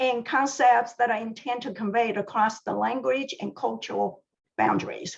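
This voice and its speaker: A woman talks at a moderate pace in a high pitch. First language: Mandarin Chinese. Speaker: library science professor. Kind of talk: scripted presentation. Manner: formal.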